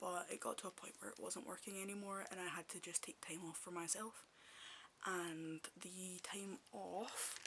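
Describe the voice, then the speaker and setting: The speaker has a Scottish accent and a moderate pace. Noticeable background noise can be heard. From Scotland. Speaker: ASMR creator. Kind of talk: ASMR casual chat. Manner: halting, with pauses and stutters; soft-spoken.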